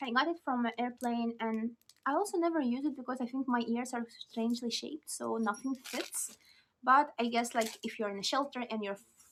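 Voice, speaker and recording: With a non-native accent, a woman talks at a fairly quick pace in a high pitch with ordinary pitch variation. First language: not English. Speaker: lifestyle vlogger. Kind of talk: casual show-and-tell vlog. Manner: chatty, hesitant with fillers.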